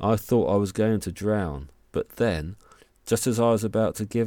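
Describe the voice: Plain reading aloud, with ordinary pitch variation.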